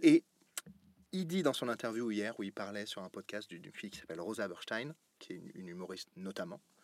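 Lively in intonation and fairly low in pitch, a man's voice sounds dry and close, with no echo. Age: 30s. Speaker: podcast host. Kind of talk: casual interview. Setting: TV channel studio.

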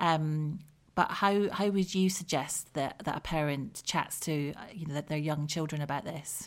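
At a fairly slow pace, a woman with a southern English accent speaks in a very deep, low pitch with fairly even intonation. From southern England. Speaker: podcast host. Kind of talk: interview. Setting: remote recording.

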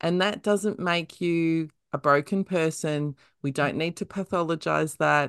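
A woman's fairly low-pitched voice in an Australian accent, fairly even in intonation, dry and close with no echo, over a quiet background. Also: fairly slow pace. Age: middle-aged. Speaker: podcast host. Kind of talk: interview; casual chat.

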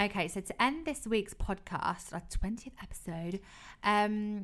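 Music plays in the background as this woman talks at a moderate speed. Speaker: podcast co-host. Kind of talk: casual chat.

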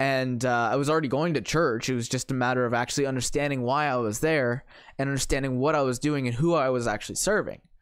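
Speaking very fast with fairly even intonation, a man with a Canadian accent comes through on a very clean recording with a silent background. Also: medium pitch for a man, very even loudness. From Ontario, Canada (St. Catharines). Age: 20s. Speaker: youth ministry worker. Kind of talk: casual chat.

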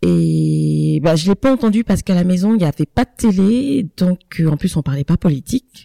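With very even loudness, a woman speaks at a moderate pace in a dry, close sound with no echo. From Ivory Coast and France. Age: 30s. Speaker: podcast co-host, mother. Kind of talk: casual chat.

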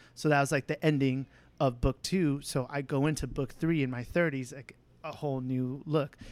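A man with an ordinary speaking voice talks at a moderate pace and a fairly high pitch, with fairly even intonation. The recording is very clean, with a silent background. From US, Mexican-American. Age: 30s. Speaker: podcast guest, former co-host. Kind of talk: casual chat.

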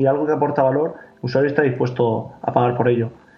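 With audible room echo and noticeable background noise, a man at medium pitch rattles along at a very fast pace in fairly even intonation. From Spain, Murcia. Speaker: startup founder. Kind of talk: interview.

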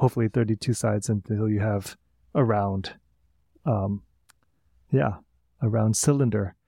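A man with a Midwestern accent, fairly low pitch and long, frequent pauses, in a dry, close sound with no echo. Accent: American Midwest. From US Midwest, St. Louis. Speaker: musician. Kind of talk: interview.

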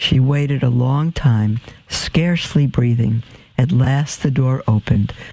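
Here the speech is plain reading aloud.

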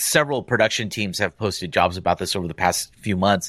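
With an ordinary speaking voice, a man talks at a fairly quick pace, his fairly low pitch carrying lively intonation on a very clean recording with a silent background. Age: 40s. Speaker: podcast co-host and podcast producer. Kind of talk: casual chat.

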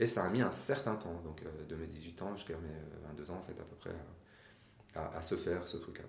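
A man with a very deep, low voice talks at a moderate pace, his speech broken by long, frequent pauses and ordinary pitch variation. His voice is somewhat breathy and swings widely in loudness, and the room echo is audible. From Iran. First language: Persian (speaking French). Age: 40s. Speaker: interview guest. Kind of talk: interview. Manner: hesitant, repeats words.

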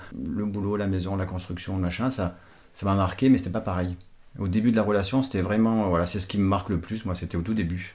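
At a fairly quick pace, a man speaks at a fairly low pitch with fairly even intonation in a plain, everyday voice, on a very clean recording with a silent background. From Portugal. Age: 50s. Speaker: father of the host, public transport worker. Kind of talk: casual chat.

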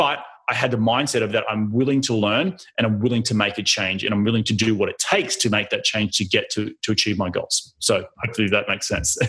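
A man with an Australian accent talks very fast at medium pitch. His tone is bright and sharp, with ordinary pitch variation. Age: 30s. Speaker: real estate investor. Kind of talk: interview.

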